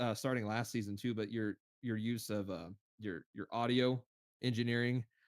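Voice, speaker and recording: An animated man's voice at medium pitch, dry and close with no echo, on a very clean recording with a silent background. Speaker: livestream host reviewing video edits. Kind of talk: live stream review and feedback. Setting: live stream. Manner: fast.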